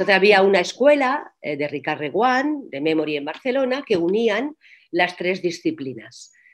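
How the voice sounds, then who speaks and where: Very wide pitch swings in a female speaker's voice. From Catalonia, Spain (Reus); Catalonia, Spain. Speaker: actress and voice coach; actress, voice coach. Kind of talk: interview. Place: home room. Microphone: video call.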